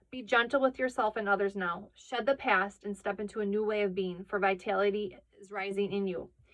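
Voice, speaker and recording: A woman at a medium pitch, fairly quick pace, big swings in loudness, fairly even intonation and hardly any pauses. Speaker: tarot card reader. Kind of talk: tarot reading. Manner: fast.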